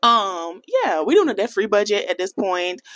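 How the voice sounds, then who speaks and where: In an American accent, a woman speaks in an animated tone with lively intonation, the sound dry and close with no echo. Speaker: personal finance vlogger. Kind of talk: casual vlog talk to camera.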